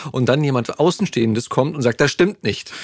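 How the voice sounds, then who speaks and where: A man talks at a moderate pace with ordinary pitch variation. He has an ordinary speaking voice. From Berlin. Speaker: podcast host and voice actor. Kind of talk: casual chat. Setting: studio.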